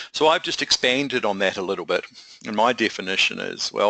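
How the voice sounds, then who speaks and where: A man with a New Zealand accent talks at a fairly quick pace, the sound dry and close with no echo. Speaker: project management consultant. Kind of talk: webinar presentation. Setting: online webinar.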